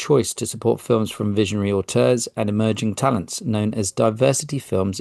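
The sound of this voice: Just an unforced reading voice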